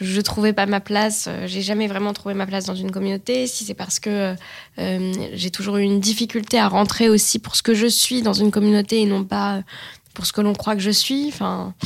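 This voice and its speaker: Medium pace and medium pitch from a woman, in a flat, monotone delivery. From France. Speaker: journalist and actress. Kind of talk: testimony. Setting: studio. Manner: hesitant, frequent fillers.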